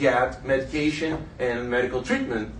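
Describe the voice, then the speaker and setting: A man with a Brazilian Portuguese accent talks at a fairly slow pace, with audible room echo. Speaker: journalist. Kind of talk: panel talk. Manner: halting.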